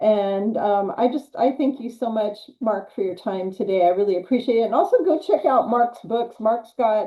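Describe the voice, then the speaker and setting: A woman speaks at a moderate pace with hardly any pauses, her pitch fairly high. She has an ordinary speaking voice and lively intonation. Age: 60s. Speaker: health channel host. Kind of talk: interview.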